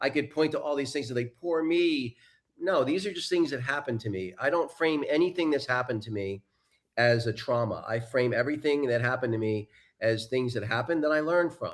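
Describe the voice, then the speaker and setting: A man's ordinary speaking voice at a fairly quick pace, with ordinary pitch variation. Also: fairly high pitch for a man. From US Northeast, New York suburbs. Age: 60s. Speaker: life coach and mentor. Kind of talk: interview. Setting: live broadcast.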